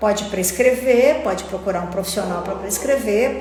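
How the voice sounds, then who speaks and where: A woman with a fairly high pitch and an animated tone speaks at a moderate pace with ordinary pitch variation, over noticeable background noise and audible room echo. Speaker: pharmacist and phytotherapy teacher. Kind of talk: live-streamed lecture. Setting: online live stream. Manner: animated, repetitive.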